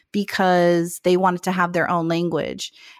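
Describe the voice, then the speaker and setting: In an American accent, a woman talks at a moderate pace with a medium pitch. The sound is dry and close with no echo, and the recording is very clean against a silent background. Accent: US West, Mexican American. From Phoenix, Arizona. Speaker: actor, musician and content creator. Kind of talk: casual interview. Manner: hesitant fillers.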